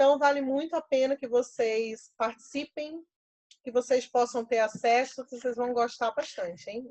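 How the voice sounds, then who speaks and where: A woman's high-pitched voice at a moderate pace with ordinary pitch variation and a dry, close sound with no echo. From Pernambuco, Brazil. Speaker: professor and workshop leader. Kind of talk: online workshop.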